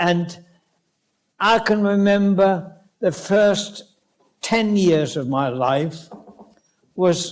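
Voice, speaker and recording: With a German accent, a man speaks at a high pitch. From northwest Germany. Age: 90s. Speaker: Holocaust survivor. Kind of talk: public lecture.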